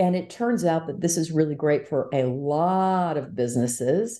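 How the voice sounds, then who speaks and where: A woman speaks with a very deep, low pitch and a dark, mellow tone, her intonation lively against a quiet background. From Quebec, Montreal. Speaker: tech entrepreneur and investor. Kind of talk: interview.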